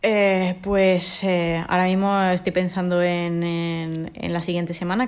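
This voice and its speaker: A woman's fairly low voice, very slow in pace, with fairly even intonation. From Córdoba, Spain. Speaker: judoka. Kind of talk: interview.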